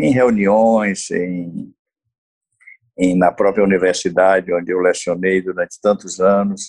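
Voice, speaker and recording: A man speaks at a very slow pace. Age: 70s. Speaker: pediatrician. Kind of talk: interview.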